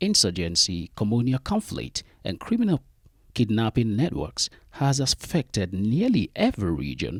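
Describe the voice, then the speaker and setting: In a very clean recording with a silent background and a dry, close sound with no echo, a man with vocal fry speaks at a moderate pace with very wide pitch swings. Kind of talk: news report narration.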